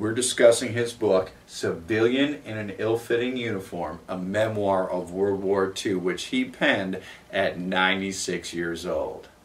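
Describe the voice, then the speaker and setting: Over noticeable background noise, a man with a fairly low pitch and ordinary pitch variation speaks at a fairly slow pace with hardly any pauses. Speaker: interviewer. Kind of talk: interview introduction.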